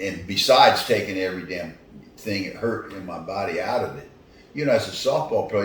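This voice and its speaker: A man with an American accent at a fairly quick pace, with audible room echo and noticeable background noise. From US Northeast, Philadelphia. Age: 70s. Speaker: retired athlete. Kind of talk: interview. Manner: halting.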